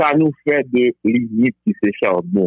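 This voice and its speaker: This man's pitch climbs and falls across a very wide range. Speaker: Vodou practitioner. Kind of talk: interview.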